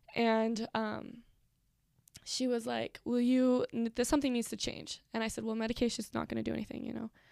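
A woman with an American accent at a fairly quick pace, dry and close with no echo. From Nevada, small town. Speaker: student sharing personal story. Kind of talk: testimony.

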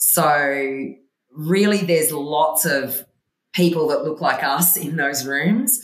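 This woman has an Australian accent and a very deep, low voice. Her intonation is lively. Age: 50s. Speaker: investment firm CEO. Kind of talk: interview. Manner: animated, laughs often.

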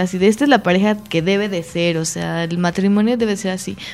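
A woman talks at a very fast pace. Her medium-pitched voice shows ordinary pitch variation. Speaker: podcast co-host. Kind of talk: casual chat. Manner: animated.

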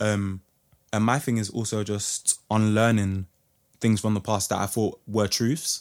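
In a London accent, a man speaks fairly slowly at a fairly low pitch with monotone, flat intonation. The recording is very clean, with a silent background. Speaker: singer. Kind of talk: casual chat.

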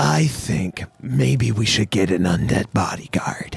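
In a put-on character voice, a man speaks at a fairly slow pace with a raspy, very deep, low pitch. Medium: actual play.

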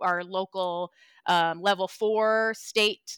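In a normal speaking voice, a woman talks at medium pitch with fairly even intonation, on a very clean recording with a silent background. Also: dry, close sound with no echo. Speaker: project coordinator and parent of a child with health conditions. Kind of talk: casual interview chat.

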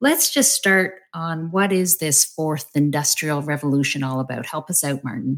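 A woman with an unremarkable speaking voice, lively intonation and a moderate pace, in a very clean recording with a silent background. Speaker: podcast host and company CEO. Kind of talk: interview conversation.

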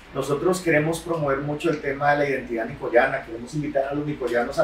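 A man's fairly high pitch comes through noticeable background noise. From Costa Rica, Nicoya (Guanacaste). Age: 30s. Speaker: politician, newly elected mayor. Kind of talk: interview.

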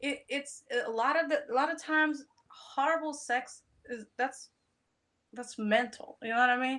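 Using a bright, sharp tone and high pitch, a woman speaks at a moderate pace with long, frequent pauses. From Poland. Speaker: adult content creator. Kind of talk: casual chat.

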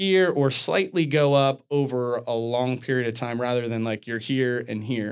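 A man's plain, everyday voice, medium in pitch, at a fairly slow pace with fairly even intonation. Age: 40s. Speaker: fitness podcast co-host, gym owner. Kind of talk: casual chat. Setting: studio.

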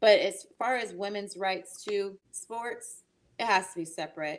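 In a very clean recording with a silent background, a woman uses an ordinary speaking voice with ordinary pitch variation. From Massachusetts. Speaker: actress. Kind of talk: interview.

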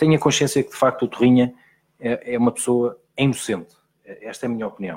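Fairly quick delivery in a plain, everyday voice, the pitch varying in an ordinary way. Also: man, medium pitch for a man. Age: 30s. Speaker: TV reporter. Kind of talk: interview.

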